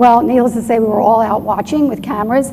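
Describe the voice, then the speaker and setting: A woman's fairly high voice amid noticeable background noise and audible room echo. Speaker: doctor and UFO researcher presenting at a conference. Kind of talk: conference presentation. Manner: fast.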